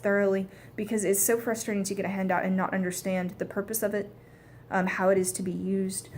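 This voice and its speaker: With an American accent, a woman talks at a fairly quick pace in a somewhat breathy voice. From US South. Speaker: dialect coach student. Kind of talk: spoken presentation of a coaching plan. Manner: hesitant, many fillers.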